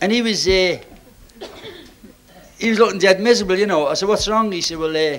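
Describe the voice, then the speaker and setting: A man with a Liverpool accent, high-pitched with ordinary pitch variation, at a very fast pace over light background noise. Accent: Scouse. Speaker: stand-up comedian. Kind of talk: stand-up comedy routine. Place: stage. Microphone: studio mic.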